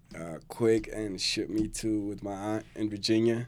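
A man speaks at a medium pitch in an unremarkable speaking voice. His pace is fairly slow. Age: 40s. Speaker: person in addiction recovery. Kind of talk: testimony.

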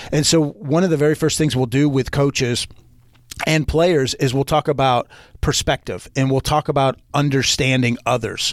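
A man's fairly high voice, an unremarkable speaking voice, at a moderate pace with fairly even intonation and very even loudness, dry and close with no echo, in a very clean recording against a silent background. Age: 40s. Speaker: leadership coach and speaker. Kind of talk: casual interview.

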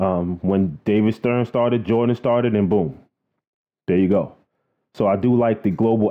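Speaking at a fairly slow pace, the man has a fairly low voice with ordinary pitch variation. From New York City, Queens. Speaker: podcast host. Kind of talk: casual monologue. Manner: animated.

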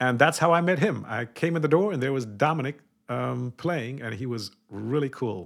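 With an American accent and medium pitch, a man speaks in an unremarkable speaking voice. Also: lively intonation, moderate pace. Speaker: podcast co-host, former prisoner. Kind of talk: casual chat.

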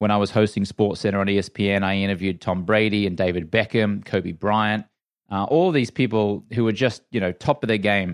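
A man with an Australian accent, fairly low in pitch with ordinary pitch variation, at a fairly quick pace on a very clean recording with a silent background. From Australia, Brisbane. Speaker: former sports TV anchor and entrepreneur. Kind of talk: interview.

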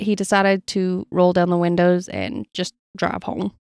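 On a very clean recording with a silent background, a woman with an Appalachian accent sounds dry and close, with no echo. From Appalachia, US. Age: 20s. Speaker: podcast host. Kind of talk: storytelling narration.

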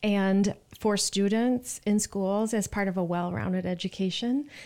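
Recorded very cleanly over a silent background, an unremarkable speaking voice moves at a fairly slow pace with ordinary pitch variation. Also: woman. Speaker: arts education fundraiser and artist. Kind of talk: panel discussion. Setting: studio.

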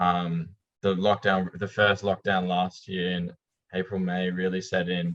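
His very deep, low voice moves at a fairly slow pace, and this man's intonation stays monotone and flat. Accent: Australian. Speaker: rock bassist. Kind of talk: casual chat.

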